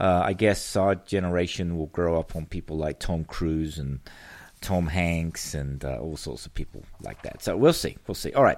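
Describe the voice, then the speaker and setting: Recorded very cleanly against a silent background, a man with a very deep, low pitch speaks at a moderate pace, his pitch varying in an ordinary way while his loudness swings widely. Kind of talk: radio pundit patter, a sarcastic political monologue to listeners. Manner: animated, sardonic and chatty, riffing with rhetorical questions and mocking asides.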